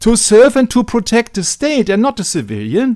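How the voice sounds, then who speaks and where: On a very clean recording with a silent background, a man with a high pitch speaks at a moderate pace in a dry, close sound with no echo. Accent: German. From Germany. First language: German. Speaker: researcher presenting on media and religion. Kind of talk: discussion presentation.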